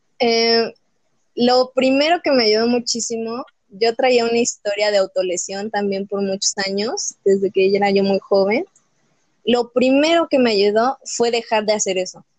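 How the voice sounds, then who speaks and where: The recording is dry and close with no echo, with a normal speaking voice at a fairly slow pace and ordinary pitch variation. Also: woman, fairly high pitch for a woman. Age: young. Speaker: podcast guest. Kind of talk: personal testimony.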